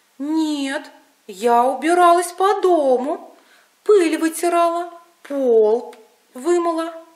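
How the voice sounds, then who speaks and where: A woman's put-on character voice, extremely high in pitch, with lively intonation, a very slow pace and long, frequent pauses. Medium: read story.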